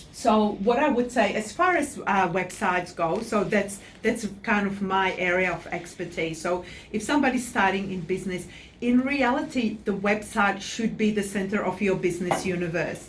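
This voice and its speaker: Someone with a non-native accent speaks with ordinary pitch variation amid audible room echo. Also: woman, medium pitch for a woman, moderate pace. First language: not English. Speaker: website designer. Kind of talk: interview.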